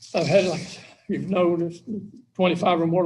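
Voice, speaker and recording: With a Louisiana accent, this man talks in a high pitch using monotone, flat intonation. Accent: Louisiana Southern US. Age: 70s. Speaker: parole applicant. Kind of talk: parole hearing statement read from notes.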